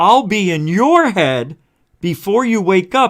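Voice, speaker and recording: Using a put-on character voice, a man speaks at a fairly slow pace with a high pitch and very wide pitch swings. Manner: eerie.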